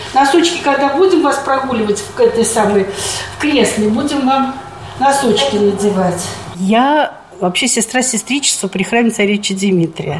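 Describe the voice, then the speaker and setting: Over noticeable background noise, a woman speaks at a moderate pace. Her voice is fairly high, with lively intonation. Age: 70s. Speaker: retired nursing sister caring for her mother. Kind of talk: casual chat.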